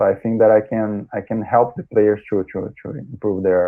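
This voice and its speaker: Speaking with a Brazilian accent, a man keeps a moderate pace. His voice is fairly low in pitch. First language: Portuguese. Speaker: sports scientist. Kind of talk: interview. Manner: halting, many repetitions.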